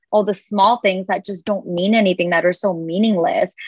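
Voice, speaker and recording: A normal speaking voice from a woman, medium in pitch, fairly quick and fairly even in intonation. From United States, Indian-American family. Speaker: content creator. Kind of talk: casual chat.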